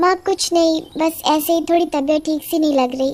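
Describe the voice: A woman speaks in a cartoonish character voice. Her pitch is extremely high, and her pace is fairly quick.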